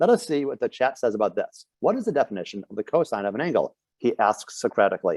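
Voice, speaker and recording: A man with a Rochester accent at a very fast pace, hardly any pauses, and a dry, close sound with no echo. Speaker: medical educator. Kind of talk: lecture.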